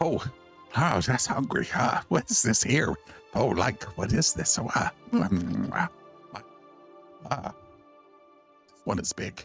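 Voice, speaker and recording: Using a put-on character voice, a man talks at a very slow pace and a medium pitch, leaving long, frequent pauses. Faint music plays in the background. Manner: hungry, sniffing, hesitant and confused.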